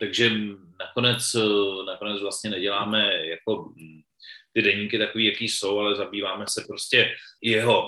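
A man speaking at a moderate pace. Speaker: theatre director. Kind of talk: interview. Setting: video call.

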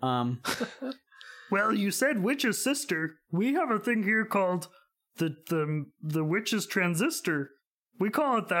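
A put-on character voice, fairly high in pitch, with very wide pitch swings at a very slow pace. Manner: goofy.

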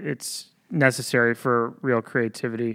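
A man speaks with an American accent at medium pitch, his tone bright and sharp and his intonation monotone and flat. The recording is very clean, with a silent background. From upstate New York. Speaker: military public affairs specialist. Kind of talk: interview.

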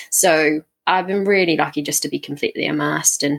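A woman's very deep, low voice carries vocal fry and fairly even intonation. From south coast of England. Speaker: aspiring adventurer, hiker. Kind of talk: casual interview chat.

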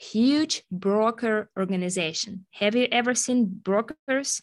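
Speaking with a Russian accent, a woman at a medium pitch talks at a very slow pace. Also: quiet background. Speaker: sales executive and agile coach. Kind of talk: podcast interview.

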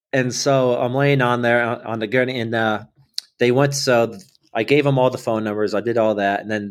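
Delivered at a moderate pace, an unremarkable speaking voice holds fairly even intonation. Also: man. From Ohio, Akron. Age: 30s. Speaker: military veteran and runner. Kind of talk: interview storytelling. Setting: remote call.

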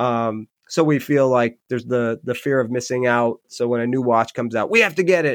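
Dry and close with no echo, a man with an American accent speaks at a medium pitch and fairly quick pace, with ordinary pitch variation and hardly any pauses. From Michigan, Upper Peninsula. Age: 40s. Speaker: podcast host and dog walker. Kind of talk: solo podcast monologue. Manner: casual, hesitant with fillers.

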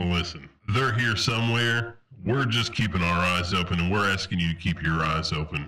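Putting on a character voice, a man speaks at a moderate pace in a raspy, very deep, low register with very even loudness. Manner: brisk, military, businesslike.

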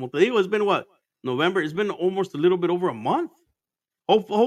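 A man talks in a high pitch at a fairly quick pace. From Arizona, born in Mexico. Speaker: podcast host. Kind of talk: casual chat. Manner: animated.

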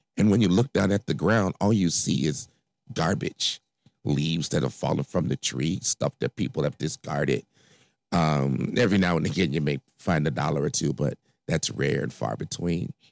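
A man's very deep, low voice with an American accent and vocal fry, lively in intonation at a moderate pace, dry and close with no echo. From Chicago, South Side. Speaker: podcast host. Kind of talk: personal monologue. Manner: hesitant, many fillers.

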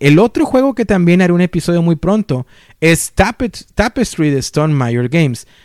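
A man with an unremarkable speaking voice talks at a fairly quick pace with lively intonation. The sound is dry and close, with no echo. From Mexico. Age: 30s. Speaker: board game podcaster. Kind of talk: solo podcast monologue, game review.

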